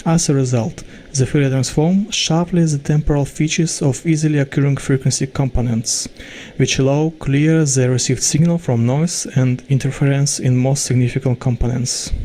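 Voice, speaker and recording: In a Russian accent, a man speaks at a moderate pace and very even loudness, his fairly high, somewhat breathy voice dark and mellow in tone, with fairly even intonation. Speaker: student researcher. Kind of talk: pre-recorded research presentation. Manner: formal.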